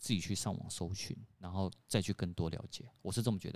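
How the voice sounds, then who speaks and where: This man's voice is very deep and low, and its pitch shifts in an ordinary way. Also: very clean recording, silent background. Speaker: podcast co-host. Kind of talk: casual chat. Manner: loud.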